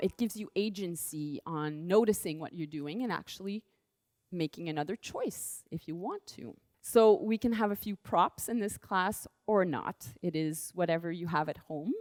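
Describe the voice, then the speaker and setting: A woman at a moderate pace with ordinary pitch variation, in a dry, close sound with no echo on a very clean recording with a silent background. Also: fairly low pitch for a woman. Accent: French. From France. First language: French. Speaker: dance and movement teacher. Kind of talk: movement class instruction.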